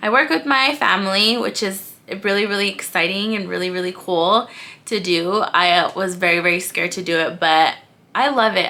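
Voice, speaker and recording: Her tone is bright, sharp, and animated. This woman speaks at a medium pitch with ordinary pitch variation. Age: 20s. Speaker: lifestyle vlogger and loan processor. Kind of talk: casual vlog monologue.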